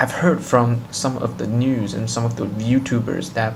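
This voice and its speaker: A man's medium-pitched voice with a non-native accent, at a moderate pace and fairly even intonation, with audible room echo and music in the background. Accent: non-native English speaker. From China. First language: Chinese. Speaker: tech YouTuber. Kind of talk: casual vlog intro; tutorial. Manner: halting, with fillers.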